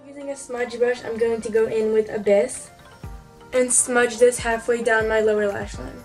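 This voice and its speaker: A woman speaks at a moderate pace with a fairly high pitch. Her intonation is flat and monotone, with music playing in the background. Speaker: beauty YouTuber. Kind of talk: makeup tutorial narration.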